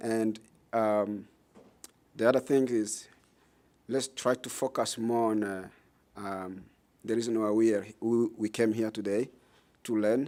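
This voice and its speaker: A man speaks at a medium pitch in a dark, mellow tone, with monotone, flat intonation and a fairly slow pace broken by long, frequent pauses. The recording is very clean, with a silent background. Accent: strong Congolese. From Democratic Republic of the Congo. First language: French. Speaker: nonprofit director, former refugee. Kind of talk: public talk. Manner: halting, broken English.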